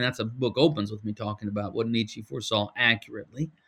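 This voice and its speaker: A man talks at a fairly quick pace. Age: 60s. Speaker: author and pastor. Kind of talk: interview. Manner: halting, repeats words.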